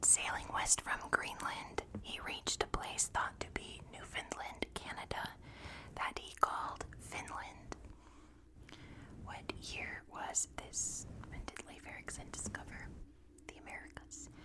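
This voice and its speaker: A woman whispers with big swings in loudness and long, frequent pauses. Background noise is noticeable. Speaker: ASMR creator. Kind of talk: ASMR sleep quiz. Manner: whispered.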